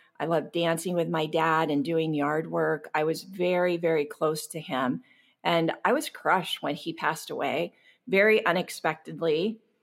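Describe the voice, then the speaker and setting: A woman with an American accent speaks at a moderate pace in a fairly low pitch, her intonation fairly even, on a very clean recording with a silent background. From US West Coast, Long Beach, California. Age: 50s. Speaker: sobriety coach and podcast host. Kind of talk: personal testimony interview.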